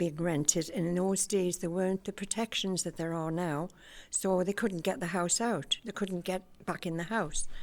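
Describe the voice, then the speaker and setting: With a Geordie accent, a woman speaks in a fairly even intonation on a very clean recording with a silent background. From Newcastle, northeast England. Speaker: community group member. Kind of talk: personal life story.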